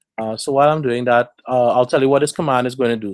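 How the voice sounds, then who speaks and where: Over a silent background in a very clean recording, a man with an unremarkable speaking voice talks at medium pitch with ordinary pitch variation. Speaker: tech meetup presenter. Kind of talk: technical presentation with live demo.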